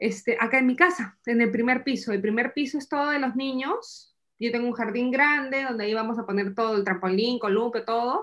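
A woman with a Peruvian accent speaks at a high pitch with ordinary pitch variation. She talks at a fairly quick pace with hardly any pauses. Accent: Peruvian Spanish (Lima). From Peru, Lima. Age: 30s. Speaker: immigrant mother. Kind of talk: interview.

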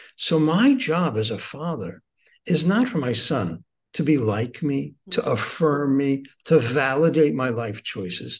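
A man's somewhat breathy, fairly high-pitched voice with lively intonation at a fairly slow pace. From Israel. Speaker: author and rabbi. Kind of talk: interview about a book. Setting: remote interview.

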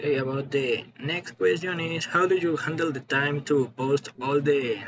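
Noticeable background noise sits behind a man with a Spanish accent. He speaks at a fairly slow pace in a medium pitch with ordinary pitch variation. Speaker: podcast host. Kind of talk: interview.

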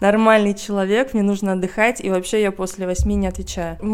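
Speaking with a plain, everyday voice, the woman keeps to a medium pitch and fairly even intonation. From Russia. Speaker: journalist and art historian. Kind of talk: casual chat.

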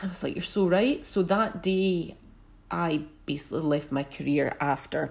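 A woman with a normal speaking voice talks at a fairly slow pace and a fairly low pitch, with ordinary pitch variation. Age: 40s. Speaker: podcast host and wellbeing business owner. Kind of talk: solo podcast monologue.

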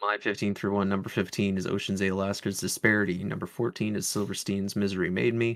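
Very fast and in a monotone, flat intonation, the speech comes through on a very clean recording with a silent background. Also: man, fairly low pitch for a man. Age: 20s. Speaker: music podcast co-host. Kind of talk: casual chat. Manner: hesitant, many fillers.

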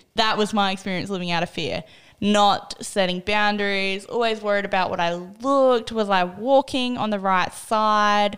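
A woman with an Australian accent speaks at a moderate pace and a medium pitch, with fairly even intonation. The recording is very clean, with a silent background. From South Australia, small country town. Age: 20s. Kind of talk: personal testimony in casual interview.

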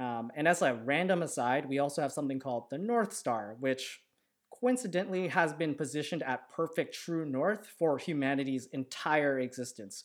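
This man has an ordinary speaking voice, pitched fairly high, at a moderate pace. The recording is very clean with a silent background. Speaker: podcast host. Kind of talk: casual chat. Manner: relaxed, casual, jokey.

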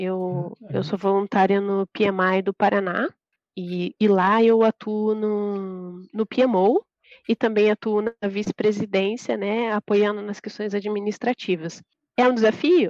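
A woman at a very slow pace with fairly even intonation, in dry, close sound with no echo. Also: medium pitch for a woman. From interior of São Paulo state, Brazil. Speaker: project manager. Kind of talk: interview.

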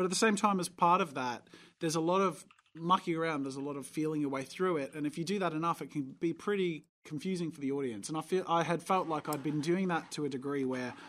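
With an American accent, a man speaks very fast in a fairly high voice, his pitch varying in an ordinary way, on a very clean recording with a silent background. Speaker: animator and YouTube content creator. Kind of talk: casual chat.

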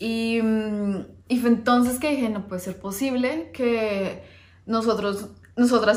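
Noticeable background noise sits behind the voice. The intonation is fairly even. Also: woman. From Colombia, Bogotá. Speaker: finance educator and investment manager. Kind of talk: personal introduction video to camera. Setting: recorded on camera, husband behind the camera.

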